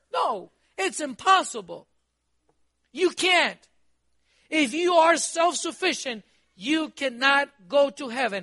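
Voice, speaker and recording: With a raised, projected voice at an extremely high pitch, a man talks at a fairly slow pace in a bright, sharp, animated tone, using lively intonation, big swings in loudness and long, frequent pauses. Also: quiet background. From Costa Rica. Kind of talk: sermon. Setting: church. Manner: animated, exhortative preaching with call-and-response questions.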